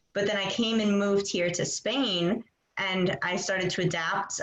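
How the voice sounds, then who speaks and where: Using an unremarkable speaking voice, a woman talks at a moderate pace with fairly even intonation. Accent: American. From United States. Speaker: English teacher. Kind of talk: casual interview.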